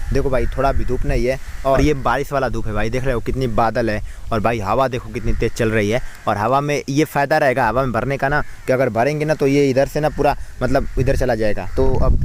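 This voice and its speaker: Moderately paced male speech with fairly even intonation and clearly audible background noise. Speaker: village vlogger. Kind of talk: casual vlog narration. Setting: outdoors, farm.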